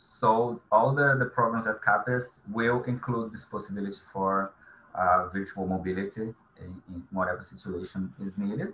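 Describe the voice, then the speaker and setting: A bright, sharp voice talks at a moderate pace with ordinary pitch variation and big swings in loudness. Audible room echo and light background noise are present. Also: man. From Brazil. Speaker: government agency coordinator; webinar panelist. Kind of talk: webinar presentation.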